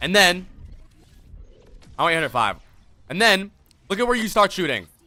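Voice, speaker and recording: A man is speaking. His tone is animated. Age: 20s. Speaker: streamer and game coach. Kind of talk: live stream commentary on gameplay reviews. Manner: casual, animated.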